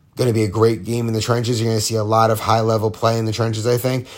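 The speaker is a man with a medium pitch. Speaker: podcast host of amateur football league show. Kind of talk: solo sports recap monologue. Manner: casual with frequent filler ums; relaxed, lying down near the end.

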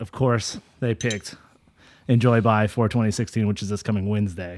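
A man with an unremarkable speaking voice talks at a moderate pace in a fairly low pitch. The recording is very clean with a silent background. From US Central Valley, California. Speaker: podcast host. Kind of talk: casual interview chat.

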